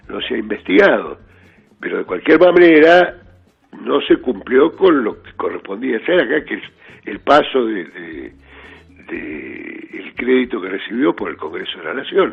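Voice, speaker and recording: A man speaking at a fairly slow pace, with music in the background. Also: big swings in loudness. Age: 60s. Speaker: judge. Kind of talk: radio interview.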